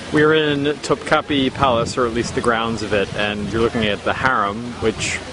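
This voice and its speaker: The speech moves at a moderate pace. Noticeable background noise runs behind it. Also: man. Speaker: video game journalist. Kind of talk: travel vlog narration. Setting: on location touring Istanbul sites.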